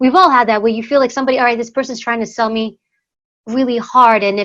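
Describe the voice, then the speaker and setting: A woman with a New York accent, fairly high-pitched, talking at a very fast clip. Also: fairly even intonation. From US Northeast, New York City. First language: Greek. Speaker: former secret service agent and author. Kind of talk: interview conversation.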